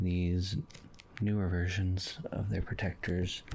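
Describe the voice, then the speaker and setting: Soft-spoken and somewhat breathy, a man speaks at a very slow pace in a very deep, low voice with a dark, mellow tone. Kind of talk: soft-spoken ASMR review. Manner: soft-spoken, casual.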